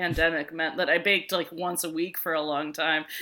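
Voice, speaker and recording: Speaking in a bright, sharp tone, a woman has an American accent. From New York area, outer borough. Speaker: podcast co-host. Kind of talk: casual chat.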